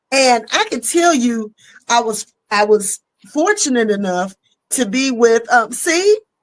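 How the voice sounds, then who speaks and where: A woman speaks at a fairly slow pace in a high voice. Her tone is animated and her intonation lively. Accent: Southern. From US South. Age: 50s. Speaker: comedian. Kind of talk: casual chat. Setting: live stream.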